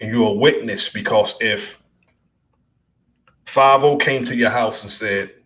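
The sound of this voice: With audible room echo, a man with a fairly low pitch and fairly bright tone speaks at a fairly slow pace with ordinary pitch variation.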